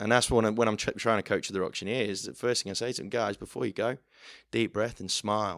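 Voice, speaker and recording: A man's fairly low-pitched, a normal speaking voice with fairly even intonation, on a very clean recording with a silent background. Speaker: auctioneer. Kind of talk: podcast interview answer.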